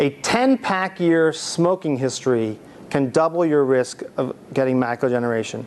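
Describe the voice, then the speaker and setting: Pitched fairly high, a man talks with ordinary pitch variation. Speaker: ophthalmologist. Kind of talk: lecture. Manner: fast; halting.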